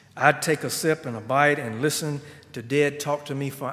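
A man speaks with a Southern US accent and fairly even intonation. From South Carolina. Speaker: guest preacher. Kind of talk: sermon. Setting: church.

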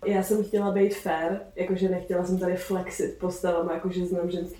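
Monotone, flat intonation comes through noticeable background noise and audible room echo. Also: woman. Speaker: theatre podcast co-host. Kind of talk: casual chat.

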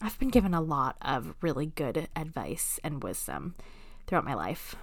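A woman with an American accent speaks amid audible room echo. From Alaska. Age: 30s. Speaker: podcast host. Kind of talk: casual chat. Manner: hesitant, many fillers; laughs often.

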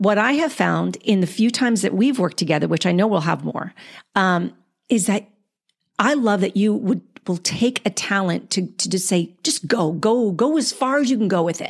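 A woman speaks at a moderate pace and medium pitch, with vocal fry. Her tone is animated and her intonation lively. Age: 50s. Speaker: podcast host and actor. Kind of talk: casual interview chat. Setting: remote call.

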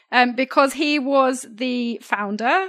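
A woman with a British accent, very slow and fairly even in intonation, over a quiet background. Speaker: podcast co-host. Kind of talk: news discussion podcast.

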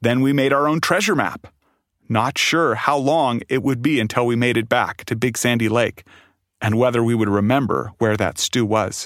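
A very clean recording with a silent background: a man's normal speaking voice, medium in pitch, with ordinary pitch variation, very even loudness, and a moderate pace. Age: 30s. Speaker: storyteller. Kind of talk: storytelling.

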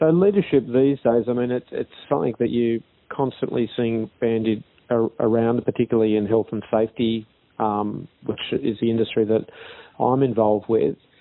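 A moderate pace carries this speech. It comes in an Australian accent. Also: man, medium pitch for a man. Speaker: podcast host. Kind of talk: interview.

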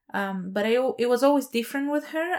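A voice with a Spanish accent shows ordinary pitch variation on a very clean recording with a silent background. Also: woman. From Chile. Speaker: podcast host. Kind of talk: personal monologue. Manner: hesitant, many fillers.

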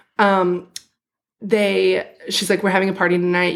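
A woman at a medium pitch and a moderate pace. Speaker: podcast co-host. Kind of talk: casual chat, recap podcast. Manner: interrupts often.

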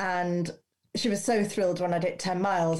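A woman has an unremarkable speaking voice, medium in pitch with ordinary pitch variation, at a fairly quick pace. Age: 50s. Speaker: first-time marathon runner. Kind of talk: casual chat.

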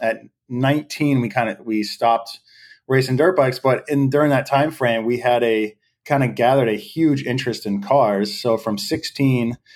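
A man with an American accent has an unremarkable speaking voice at a medium pitch, with fairly even intonation and a moderate pace. The recording is very clean, with a silent background. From US Northeast, southern New Hampshire. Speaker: professional drift driver. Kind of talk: podcast interview.

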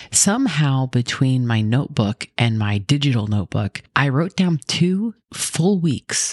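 A soft-spoken woman talks at a fairly slow pace in a very deep, low pitch with very wide pitch swings and hardly any pauses. Her loudness stays very even, and the sound is dry and close with no echo. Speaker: podcast host. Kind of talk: scripted Bible podcast intro and casual chat. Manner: soft-spoken, talking quietly.

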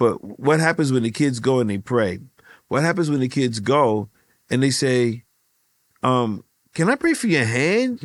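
A normal speaking voice from a man at medium pitch, with very even loudness, moderate pace and ordinary pitch variation over a quiet background. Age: 60s. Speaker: ministry leader. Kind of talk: casual chat.

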